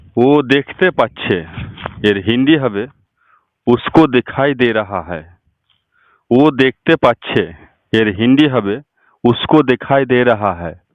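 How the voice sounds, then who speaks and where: A man speaks in an unremarkable speaking voice. It has a medium pitch and ordinary pitch variation. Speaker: Hindi language teacher. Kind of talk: tutorial.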